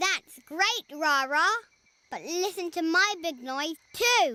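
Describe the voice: In a cartoonish character voice pitched extremely high, the speaker talks at a very slow pace.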